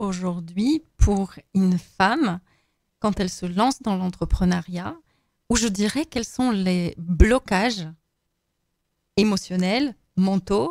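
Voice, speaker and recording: A woman with a Polish accent speaks at a medium pitch and a very slow pace, leaving long, frequent pauses. Her pitch varies in an ordinary way, and the sound is dry and close with no echo. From Poland. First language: Polish (speaking French). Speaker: podcast host. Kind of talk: podcast interview.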